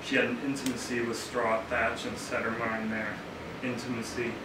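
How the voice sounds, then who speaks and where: Over loud background noise and audible room echo, the speech moves at a moderate pace. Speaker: poet reading own work. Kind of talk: poetry reading. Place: shop. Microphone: camera far.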